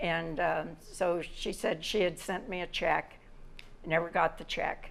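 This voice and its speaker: A woman speaks with a fairly low pitch. Room echo can be heard around her voice. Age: 80s+. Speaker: plaintiff in small claims court. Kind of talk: courtroom testimony.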